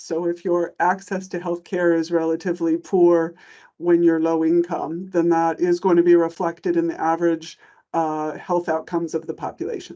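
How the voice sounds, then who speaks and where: A woman speaks in a plain, everyday voice with an American accent. Her pitch is fairly low and her pace moderate. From United States. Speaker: economist, government commissioner. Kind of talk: panel conversation.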